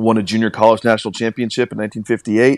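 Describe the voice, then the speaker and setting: The recording is very clean, and the background is silent. A man talks at a fairly low pitch. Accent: American. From western Washington (Carnation). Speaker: sports journalist. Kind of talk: casual chat.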